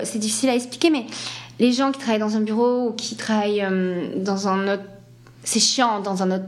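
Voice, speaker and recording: A woman's fairly high voice with ordinary pitch variation, plus noticeable background noise and audible room echo. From France, Landes (Atlantic coast). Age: 30s. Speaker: ballet dancer. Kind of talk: interview.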